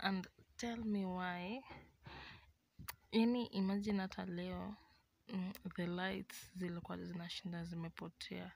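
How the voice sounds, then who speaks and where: A woman talks at a very slow pace in a dry sound with no echo. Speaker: vlogger. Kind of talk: casual vlog chat. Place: home room. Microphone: phone near.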